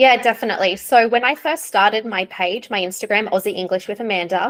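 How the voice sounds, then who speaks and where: Speaking at a moderate pace with ordinary pitch variation, a woman with an Australian accent sounds dry and close with no echo. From Australia, Sydney and small NSW beach town. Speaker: ESL teacher. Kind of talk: interview.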